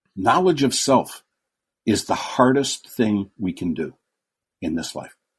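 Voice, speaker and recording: On a very clean recording with a silent background, a man of medium pitch talks at a fairly slow pace with very wide pitch swings and vocal fry. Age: 70s. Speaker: former TV host. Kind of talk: casual interview. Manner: halting.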